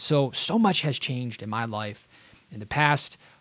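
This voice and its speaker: The pitch varies in an ordinary way at a moderate pace. Music sounds in the background. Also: man. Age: 30s. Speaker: podcast host. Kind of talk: solo podcast monologue.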